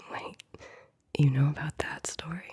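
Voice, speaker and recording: A woman is speaking. She whispers. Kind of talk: ASMR bedtime story reading. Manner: soft-spoken.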